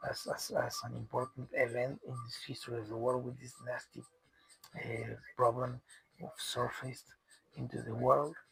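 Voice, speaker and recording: With a Spanish accent, a man speaks at a moderate pace, his loudness swinging widely between long, frequent pauses. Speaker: commentator on world news. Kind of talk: solo monologue. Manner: halting, many repetitions and fillers.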